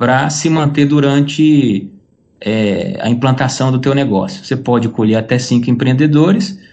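A man at medium pitch, moderate pace, ordinary pitch variation, and very even loudness, with audible room echo. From Brazil. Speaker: entrepreneur. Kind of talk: interview.

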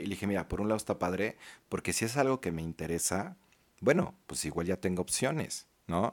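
With a Mexican accent, a man talks at a fairly quick pace in a very clean recording with a silent background. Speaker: podcast co-host. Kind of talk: casual chat. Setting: studio.

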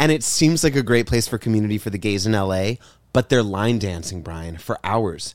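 With an ordinary speaking voice pitched fairly low, a man talks at a fairly quick pace with lively intonation. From Texas, Cuban-American family. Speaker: podcast co-host, comedian. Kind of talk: casual chat.

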